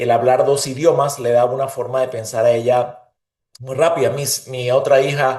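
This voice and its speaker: A man's medium-pitched, somewhat breathy voice with a Venezuelan accent, monotone and flat, with audible room echo. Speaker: leader and interviewee. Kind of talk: interview conversation.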